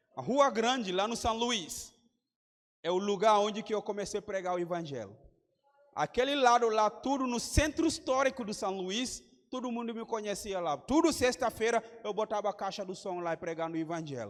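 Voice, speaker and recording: A high-pitched male voice with a West African accent, at a moderate pace. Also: lively intonation. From Gambia. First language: Mandinka or another Gambian language (speaking Portuguese). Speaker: missionary preacher. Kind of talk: sermon. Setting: church conference with congregation.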